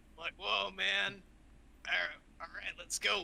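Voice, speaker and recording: A drawling man in a put-on character voice, fairly high-pitched, with very wide pitch swings over clear background noise. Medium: actual play. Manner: slangy, laid-back, drawling "bro" and "man".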